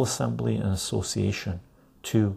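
Soft-spoken with vocal fry, the voice has a dark, mellow tone. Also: man. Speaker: video creator reading aloud. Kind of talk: formal newsreading of a legal text, reading aloud. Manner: measured, even and deliberate, slightly halting with self-corrections.

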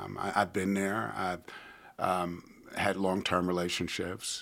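On a very clean recording with a silent background, a man with an American accent speaks at a fairly slow pace, his very deep, low voice bright and sharp in tone. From US Northeast, New York City. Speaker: church member sharing testimony. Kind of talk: testimony.

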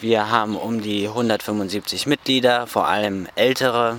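A man's flat, monotone intonation comes through noticeable background noise. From northern Germany, Rostock. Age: 20s. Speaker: Bible school student. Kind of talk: interview. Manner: hesitant with fillers.

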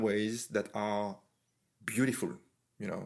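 With a French accent, a man speaks at a fairly slow pace on a very clean recording with a silent background. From France. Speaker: podcast host, artist and martial artist. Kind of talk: casual conversational interview. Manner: halting, many fillers and repeats.

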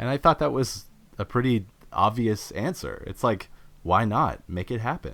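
With a Canadian accent, a man speaks on a very clean recording over a silent background. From Ontario, Durham Region. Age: 20s. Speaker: former grocery worker and labor writer. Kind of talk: interview. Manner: casual, with fillers.

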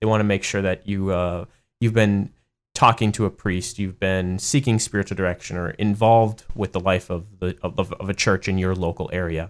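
A man's very deep, low voice with fairly even intonation, on a very clean recording with a silent background. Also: moderate pace. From US Midwest, Madison, Wisconsin. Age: 30s. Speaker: seminarian and Air Force officer. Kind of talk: interview.

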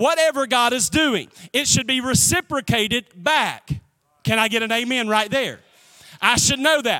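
A man speaks with an extremely high pitch, a raised, projected voice, a bright, sharp tone and ordinary pitch variation. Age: 40s. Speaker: pastor. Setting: church with live audience. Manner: rhythmic, emphatic repetition building to praise breaks.

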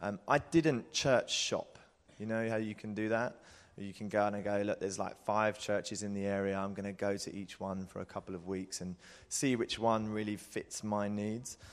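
A man with an unremarkable speaking voice, fairly low in pitch, at a moderate pace with fairly even intonation, over a quiet background. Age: 30s. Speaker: advertising worker. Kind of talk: panel interview.

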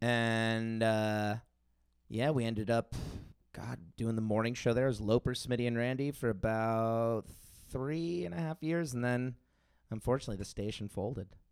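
A man with an American accent and an unremarkable speaking voice talks at a moderate pace and medium pitch, with ordinary pitch variation. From South Florida (Tequesta). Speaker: musician and podcaster. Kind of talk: casual chat.

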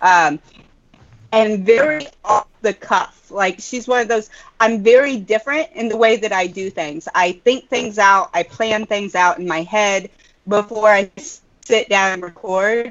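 A woman with a normal speaking voice, fairly high in pitch, talks at a fairly slow pace with ordinary pitch variation. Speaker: vape reviewer panelist. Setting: video call, poor internet.

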